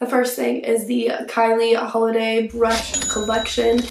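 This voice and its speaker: A fairly high-pitched woman talks as noticeable background noise plays beneath her. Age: young. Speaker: lifestyle youtuber. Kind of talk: casual vlog talk to camera.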